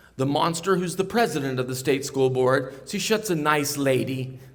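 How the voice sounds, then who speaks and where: Talking at a fairly quick pace with an American accent, a man is heard with audible room echo. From Ohio. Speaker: pastor. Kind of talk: political speech. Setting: stage with audience. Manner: loud.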